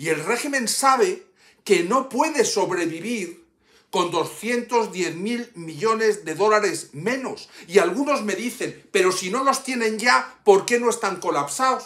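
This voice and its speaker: A man's high voice, bright and sharp in tone, with lively intonation at a very slow pace over a quiet background. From Cuba, Havana; Cuba. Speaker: YouTuber and political activist; YouTuber. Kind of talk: personal video message. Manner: impassioned. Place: home room. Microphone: phone near.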